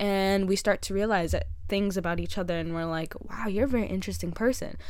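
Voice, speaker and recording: Audible echo fills the room around the speaker. She is a woman talking at a fairly quick clip. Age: 18. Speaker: podcast host. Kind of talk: casual monologue. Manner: fast.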